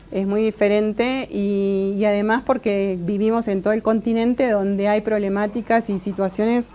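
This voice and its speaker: A dark, mellow tone at a moderate pace, with monotone, flat intonation. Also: woman. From Argentina. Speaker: Mapuche academic. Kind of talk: interview. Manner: halting, many fillers and repeats.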